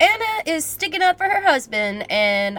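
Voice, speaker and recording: Over noticeable background noise, the speaker moves at a moderate pace with very wide pitch swings. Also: woman. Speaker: movie commentary youtuber. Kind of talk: casual movie commentary.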